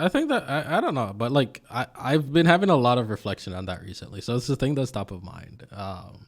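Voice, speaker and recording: Captured on a very clean recording with a silent background, a man with an American accent talks at a fairly quick pace and a medium pitch with hardly any pauses, very wide pitch swings and big swings in loudness. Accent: American-sounding, Jamaican accent hidden. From Jamaica. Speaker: interview guest. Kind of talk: casual interview.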